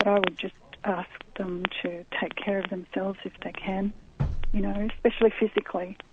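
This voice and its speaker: The delivery is monotone, with flat intonation at a moderate pace. Noticeable background noise sits behind it. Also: woman, medium pitch for a woman. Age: 60s. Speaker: author interviewed about grief. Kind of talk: radio interview.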